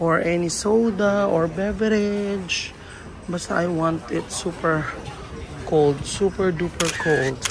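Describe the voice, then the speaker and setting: Speaking very slowly at a fairly low pitch, a woman keeps her loudness very even with ordinary pitch variation, amid noticeable background noise and audible room echo. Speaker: travel vlogger. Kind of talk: travel vlog. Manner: animated.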